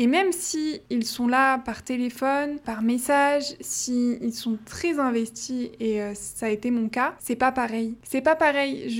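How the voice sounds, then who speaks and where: Speaking very slowly with hardly any pauses, a woman uses a high pitch and ordinary pitch variation. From France. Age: 20s. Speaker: podcast host. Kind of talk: casual monologue.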